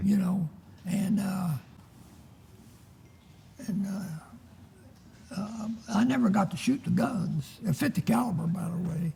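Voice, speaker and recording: With a dark, mellow tone and a high pitch, a man speaks at a very slow pace with ordinary pitch variation and long, frequent pauses. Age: 80s+. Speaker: World War II veteran. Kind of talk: interview answer. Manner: hesitant.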